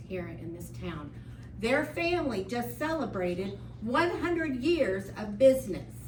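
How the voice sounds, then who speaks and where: A woman with an American accent, big swings in loudness, audible room echo and noticeable background noise. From US Midwest, central Illinois. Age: 60s. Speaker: resident speaking at public comment. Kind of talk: public comment at a county meeting. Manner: impassioned.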